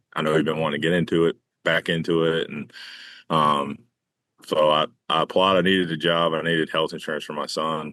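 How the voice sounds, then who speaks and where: A man speaks in a very deep, low pitch with a Southern US accent. His fairly quick delivery has monotone, flat intonation. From North Carolina. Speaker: baseball groundskeeper. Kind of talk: casual interview. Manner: halting, many fillers.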